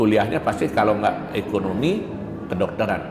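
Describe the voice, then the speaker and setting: Lively intonation runs through this man's speech. He keeps a fairly quick tempo. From Bali, Pupuan, Tabanan. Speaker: university lecturer. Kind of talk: interview.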